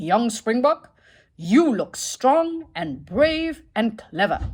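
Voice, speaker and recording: Booming in a put-on character voice, a woman swings her pitch very widely. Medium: read story. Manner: gentle, booming.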